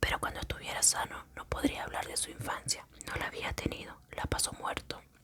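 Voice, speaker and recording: Noticeable background noise sits under a fairly quick whisper. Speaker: ASMR creator. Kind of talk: short story reading. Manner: whispered.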